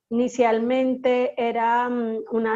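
A woman's high-pitched voice with a dark, mellow tone and monotone, flat intonation. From Colombia, Bogotá, of Caribbean coast family. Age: 30s. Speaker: anthropologist and cultural consultant. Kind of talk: interview conversation. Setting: online call.

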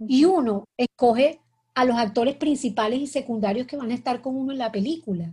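Her voice is high-pitched with a dark, mellow tone, and the woman moves at a fairly quick pace with ordinary pitch variation. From Colombia, Cartagena. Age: 50s. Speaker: writer. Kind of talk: interview. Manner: halting.

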